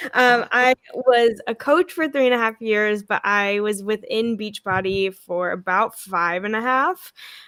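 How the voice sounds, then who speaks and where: A loud woman's voice with a bright, sharp tone, fairly slow pace and hardly any pauses. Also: fairly high pitch for a woman, ordinary pitch variation, dry, close sound with no echo. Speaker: former network-marketing coach, stay-at-home mom. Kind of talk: casual chat.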